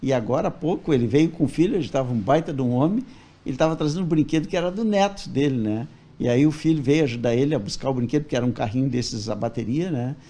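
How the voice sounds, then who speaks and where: A man's very fast, fairly high-pitched voice with a dark, mellow tone and lively intonation. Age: 70s. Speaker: toy repairer. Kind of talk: interview.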